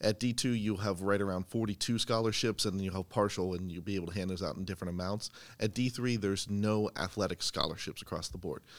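A man speaks very fast with hardly any pauses, his voice fairly low and his intonation fairly even. The recording is very clean, with a silent background. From central Pennsylvania. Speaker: university athletic communications director. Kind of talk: casual interview. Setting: indoors in campus athletic facility.

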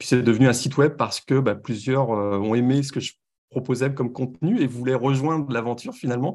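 A man speaks at a fairly quick pace in a medium pitch, with ordinary pitch variation over a quiet background. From France. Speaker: college football website editor. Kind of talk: podcast interview and game analysis. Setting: remote from Los Angeles.

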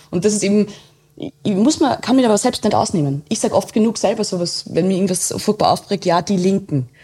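A woman's dark, mellow, somewhat breathy voice at medium pitch, very fast and very even in loudness, with ordinary pitch variation in a very clean recording with a silent background. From Austria, Waldviertel (Lower Austria). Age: 30s. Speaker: journalist. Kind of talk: casual interview.

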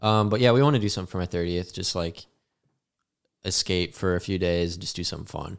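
A man with an American accent at a very fast pace, very deep and low in pitch, with ordinary pitch variation. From Arizona. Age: 20s. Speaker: drummer. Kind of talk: casual chat. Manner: animated.

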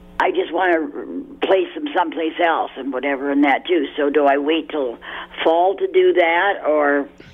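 The speech moves at a moderate pace, and noticeable background noise runs underneath it. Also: woman. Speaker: caller. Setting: phone call.

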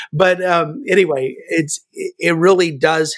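A man with an American accent speaks with fairly even intonation in a dry, close sound with no echo. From Kansas. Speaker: pastor and small group consultant. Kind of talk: podcast interview.

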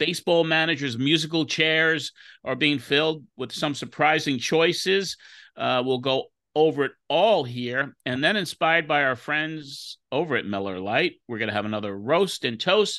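Against a quiet background, a man talks with a bright, sharp tone and lively intonation. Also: moderate pace. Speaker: podcast co-host. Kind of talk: casual interview banter.

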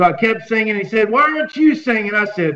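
Raised, projected voice with lively intonation. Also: man. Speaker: country singer. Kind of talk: interview. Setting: video call.

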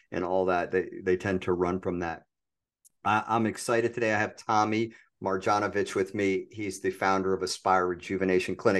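With an ordinary speaking voice, a man talks at a moderate pace against a quiet background. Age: 50s. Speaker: podcast host, entrepreneur coach. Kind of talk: interview.

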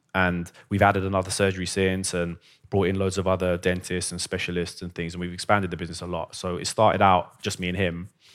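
Very deep and low, a man's voice with a London accent runs at a very fast pace on a very clean recording with a silent background. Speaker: dentist. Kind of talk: interview. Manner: animated.

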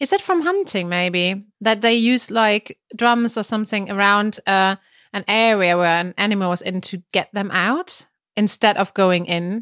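A woman with a German accent speaks at a fairly slow pace and a medium pitch. The recording is very clean with a silent background and a dry, close sound with no echo. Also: ordinary pitch variation. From Germany. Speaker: podcast co-host, language teacher. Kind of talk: casual chat.

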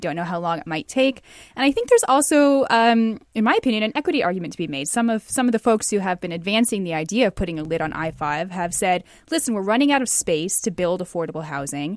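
A woman with an American accent talks at a very fast pace. Her medium-pitched voice makes very wide pitch swings. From Seattle. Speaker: investigative reporter. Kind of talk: panel news discussion.

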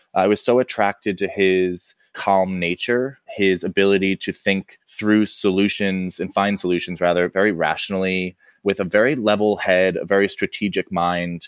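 At a moderate pace, with hardly any pauses, a man speaks in a plain, everyday voice, fairly low in pitch and with fairly even intonation, in a dry, close sound with no echo on a very clean recording with a silent background. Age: 30s. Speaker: dinnerware brand co-founder. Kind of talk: interview conversation.

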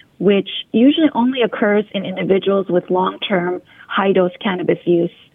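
A woman speaks at a fairly quick pace with medium pitch and ordinary pitch variation, over noticeable background noise. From US. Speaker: integrative medicine physician. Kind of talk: interview. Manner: formal.

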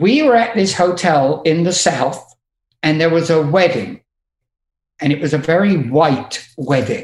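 A man with an English accent speaks very slowly at a high pitch, with ordinary pitch variation. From England. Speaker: music tour manager. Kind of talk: casual chat.

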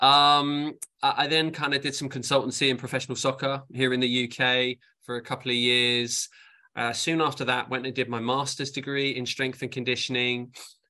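With an English accent, a man speaks at a fairly quick pace in a monotone, flat intonation. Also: medium pitch for a man. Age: 40s. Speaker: sports science professor. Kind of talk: interview.

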